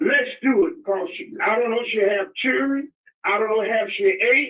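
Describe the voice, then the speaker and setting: A man talks at an extremely high pitch and a moderate pace. His intonation is lively. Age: 80s+. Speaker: caller. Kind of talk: call-in talk show. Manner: halting, repeats words.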